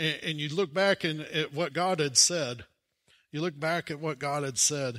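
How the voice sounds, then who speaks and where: A man with an American accent speaks at a moderate pace and fairly high pitch, in a warm yet bright, sharp tone. The recording is very clean, with a silent background. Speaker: preacher. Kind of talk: sermon. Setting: church. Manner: conversational and warm, with humor and asides; animated, emphatic, rhetorical questions to the congregation.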